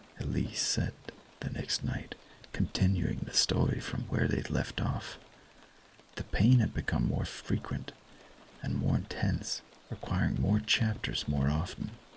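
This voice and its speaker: The voice has a soothing tone and very wide pitch swings, moving at a fairly slow pace. Long, frequent pauses occur over noticeable background noise. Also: man, very deep, low pitch for a man. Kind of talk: bedtime story reading. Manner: soothing, soft-spoken.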